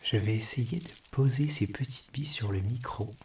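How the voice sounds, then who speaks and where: Soft-spoken and somewhat breathy, a man talks at a fairly slow pace in a gentle tone. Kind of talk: ASMR triggers video, soft-spoken address to camera. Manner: soft-spoken, gentle.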